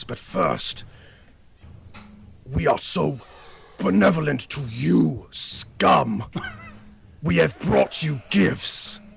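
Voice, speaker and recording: A man puts on a character voice at a medium pitch. He speaks at a very slow pace, leaving long, frequent pauses. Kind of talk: mock-benevolent, haughty. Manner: very sarcastic.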